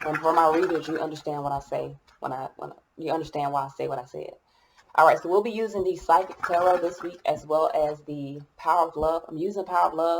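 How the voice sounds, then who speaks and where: A woman mumbling at a fairly quick pace, fairly low in pitch, with fairly even intonation and big swings in loudness. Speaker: tarot reader. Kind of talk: tarot reading.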